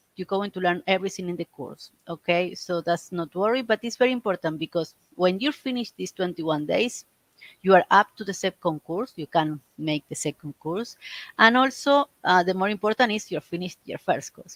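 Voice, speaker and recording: With a Spanish accent, a woman speaks at a moderate pace with lively intonation and big swings in loudness, in a dry, close sound with no echo. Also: medium pitch for a woman. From Argentina. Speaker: reiki teacher. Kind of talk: live stream talk. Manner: halting.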